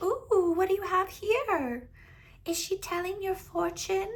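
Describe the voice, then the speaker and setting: A squeaky, female-sounding put-on character voice at an extremely high pitch moves at a fairly slow pace. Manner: nosy, pushy.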